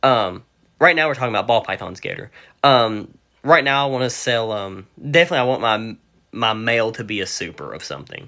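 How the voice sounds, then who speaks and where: Against a quiet background, a man with a West Virginia accent talks at a fairly quick pace in a medium pitch and a bright, sharp tone, with ordinary pitch variation and big swings in loudness. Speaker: reptile seller and breeder. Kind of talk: livestream chat. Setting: livestream. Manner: rambling, casual.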